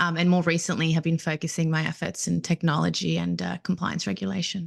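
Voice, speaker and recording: A woman with an Australian accent at a very fast pace. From Australia, Melbourne. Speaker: compliance professional. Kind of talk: podcast interview.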